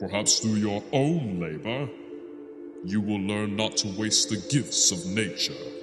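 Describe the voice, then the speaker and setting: Over clear music in the background, a man uses a booming, put-on character voice at a fairly low pitch and a fairly slow pace, with a clear echo. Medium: read story. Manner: solemn, commanding.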